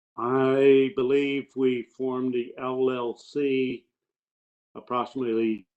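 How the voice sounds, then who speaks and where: A man talks at a very slow pace. His medium-pitched voice stays monotone and flat. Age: 70s. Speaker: farmer witness. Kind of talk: witness testimony.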